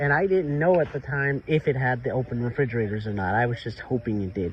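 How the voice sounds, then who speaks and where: A man with an American accent talks at a very fast pace, his medium-pitched voice full of lively intonation. Noticeable background noise is present. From North Carolina, Charlotte. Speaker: vlogger. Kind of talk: casual chat. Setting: outdoors.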